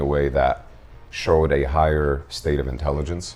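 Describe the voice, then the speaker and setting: The speech moves at a moderate pace with monotone, flat intonation. Background noise is noticeable. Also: man. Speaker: chemistry teacher and podcaster, fighting game player. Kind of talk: casual chat. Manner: well-spoken.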